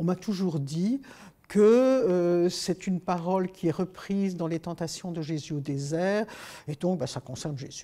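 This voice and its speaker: At a fairly slow pace, a woman speaks with a fairly low pitch, a dark, mellow tone and ordinary pitch variation. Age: 70s. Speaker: author and youth leader; interviewee. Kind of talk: interview. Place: studio.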